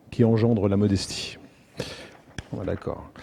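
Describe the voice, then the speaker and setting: This man's speech comes with noticeable background noise around it. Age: 60s. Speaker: racehorse owner and restaurant franchisee. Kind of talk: public talk. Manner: halting, many hesitations.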